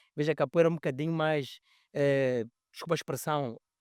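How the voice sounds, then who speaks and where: At a moderate pace, a bright, sharp voice with ordinary pitch variation comes through in a dry, close sound with no echo on a very clean recording with a silent background. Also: man. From Mozambique. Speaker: capoeira master. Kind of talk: podcast conversation.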